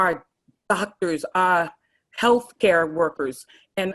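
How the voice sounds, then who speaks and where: A woman speaks with an American accent in a plain, everyday voice. Her pitch is fairly low, and the sound is dry and close with no echo. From Miami, Florida (Little Haiti). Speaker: elected official, event host. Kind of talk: townhall opening speech.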